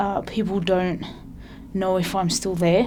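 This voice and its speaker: Noticeable background noise and audible room echo surround a woman speaking with an Australian accent. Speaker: person who stutters. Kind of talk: testimony. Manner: halting.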